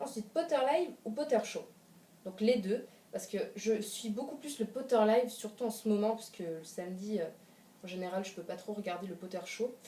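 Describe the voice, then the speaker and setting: A woman's fairly high voice with lively intonation and big swings in loudness, over noticeable background noise. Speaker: youtuber. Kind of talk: casual chat. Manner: fast.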